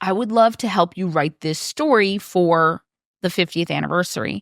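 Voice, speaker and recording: A woman with a Wisconsin accent has a bright, sharp tone. The sound is dry and close with no echo, on a very clean recording with a silent background. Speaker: author and game developer. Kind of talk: podcast interview.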